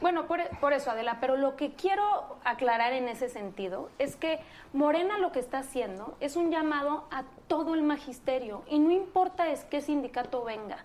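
A high-pitched woman at a moderate pace over noticeable background noise. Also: lively intonation. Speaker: political campaign spokeswoman. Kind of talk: political debate.

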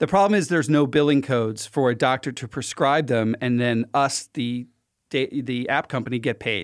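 In a plain, everyday voice, a man with an American accent speaks at a moderate pace and medium pitch, with ordinary pitch variation. The recording is very clean, and the background is silent. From Philadelphia, US. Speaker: healthcare app founder. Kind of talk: casual interview. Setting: studio.

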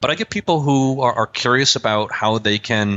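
The speaker is a man with an unremarkable speaking voice. His pace is moderate, and his pitch variation is ordinary. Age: 30s. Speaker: management consultant. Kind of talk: interview.

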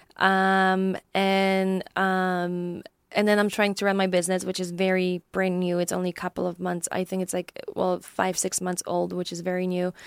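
A woman with a Polish accent and medium pitch speaks in a monotone, flat way on a very clean recording with a silent background, dry and close with no echo. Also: moderate pace. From Poland. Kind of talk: casual interview. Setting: studio. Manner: halting, many fillers.

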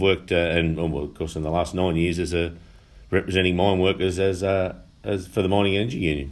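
With a strong Australian accent and a very deep, low pitch, a man speaks fairly quickly with fairly even intonation. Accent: broad Australian. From Upper Hunter, New South Wales, Australia. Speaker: union official and election candidate. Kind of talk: interview. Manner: halting, many fillers.

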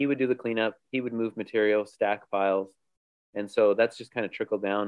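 Speaking in a normal speaking voice, this man keeps his pitch fairly low and his intonation fairly even. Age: 40s. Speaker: home builder and framer. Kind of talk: casual chat.

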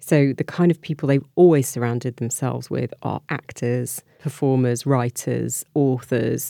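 A woman speaks at a fairly slow pace with hardly any pauses, her very deep, low pitch carrying a dark, mellow tone and vocal fry, in a dry, close sound with no echo. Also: fairly even intonation. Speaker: royal editor. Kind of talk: casual chat.

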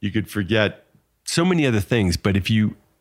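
An ordinary speaking voice from a man, fairly low in pitch, at a moderate pace on a very clean recording with a silent background. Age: 60s. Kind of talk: casual chat. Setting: in a home bar.

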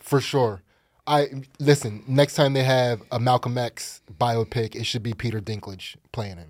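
A man speaks at a fairly slow pace with medium pitch, ordinary pitch variation and big swings in loudness. It is an unremarkable speaking voice on a very clean recording with a silent background. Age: 40s. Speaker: comedian. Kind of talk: casual chat. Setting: studio.

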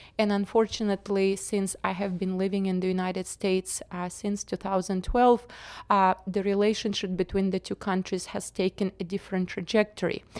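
A woman's medium-pitched voice in a Russian accent, monotone and flat at a moderate pace with hardly any pauses, in a dry, close sound with no echo. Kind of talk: interview conversation.

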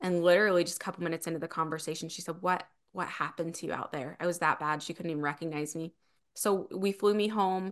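Against a quiet background, a woman with a fairly low pitch and an American accent talks at a very fast pace. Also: fairly even intonation. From Utah. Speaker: keynote speaker and author. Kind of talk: interview.

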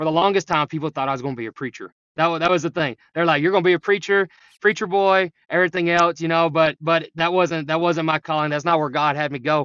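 Energetic and very fast, a man talks with an East Texas accent at a high pitch. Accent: East Texas Southern. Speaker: high school coach. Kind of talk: casual interview.

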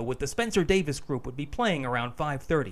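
An ordinary speaking voice, this man talks with an American accent, a fairly high pitch and lively intonation. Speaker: podcast producer. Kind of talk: scripted narration.

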